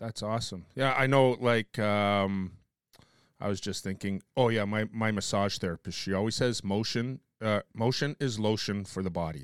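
Man with an ordinary speaking voice at a moderate pace, ordinary pitch variation, dry, close sound with no echo, and a very clean recording with a silent background. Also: fairly low pitch for a man. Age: 50s. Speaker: podcast host. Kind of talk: casual chat.

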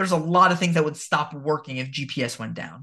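A man with an American accent, bright and sharp in tone, with ordinary pitch variation at a fairly quick pace. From New Jersey. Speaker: history teacher. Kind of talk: casual chat.

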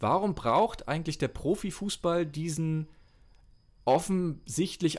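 Very slowly, a man speaks in a fairly high voice with ordinary pitch variation. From northern Germany, Mecklenburg. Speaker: former sports journalist and author. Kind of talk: casual interview. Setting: remote call. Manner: hesitant, many fillers.

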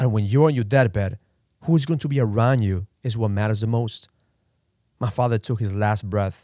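Here is a man with a plain, everyday voice, medium in pitch, with ordinary pitch variation and a moderate pace. The recording is very clean, with a silent background. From immigrant to US. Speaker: audiobook author narrator. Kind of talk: eulogy-like reflective narration of his father's death, solemn and tearful. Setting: audiobook recording.

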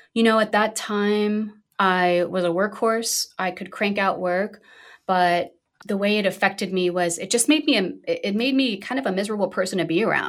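In an American accent, a plain, everyday voice speaks at a moderate pace with ordinary pitch variation, on a very clean recording with a silent background. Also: woman, medium pitch for a woman. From US Northeast, Brooklyn, New York. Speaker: functional medicine physician. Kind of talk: interview conversation.

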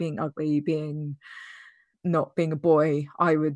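With a British accent, a woman speaks in a very deep, low pitch and a monotone, flat intonation against a quiet background. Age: 30s. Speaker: user researcher sharing estrangement story. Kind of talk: interview testimony.

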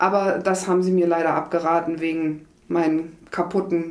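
A woman speaks at a moderate pace, her voice carrying audible room echo. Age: 40s. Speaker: hospital admissions clerk, former nurse. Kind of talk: interview.

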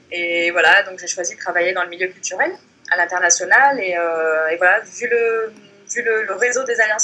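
Amid noticeable background noise, a woman speaks at a fairly quick pace with ordinary pitch variation. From Morocco. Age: 30s. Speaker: blogger. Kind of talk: interview.

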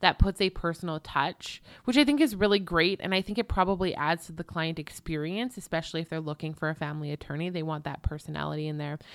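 A woman speaks in a plain, everyday voice, fairly low in pitch with ordinary pitch variation. The recording is very clean, with a silent background. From Canada. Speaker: podcast host, legal marketing consultant. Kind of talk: solo podcast monologue.

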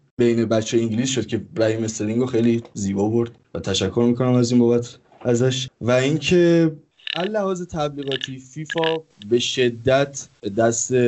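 He has an ordinary speaking voice, pitched in the middle range for a man. His delivery is moderately paced, and his pitch varies in an ordinary way. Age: 20s. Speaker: gaming streamer. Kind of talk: casual chat.

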